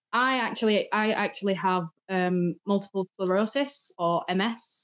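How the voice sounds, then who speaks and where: A woman with an English accent speaks with fairly even intonation. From England. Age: 30s. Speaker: true crime content creator. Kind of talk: casual chat.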